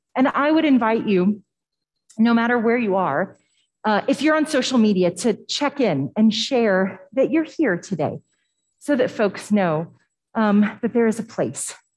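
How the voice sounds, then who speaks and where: A woman with a somewhat breathy voice speaks at a fairly slow pace, her pitch moving in very wide swings. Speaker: pastor leading worship. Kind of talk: sermon. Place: church.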